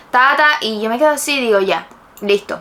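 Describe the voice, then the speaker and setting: Over noticeable background noise, a woman talks at a fairly quick pace in a raised, projected voice. Her tone is animated and her intonation lively. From Cuba. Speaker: YouTuber. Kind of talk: casual storytelling vlog.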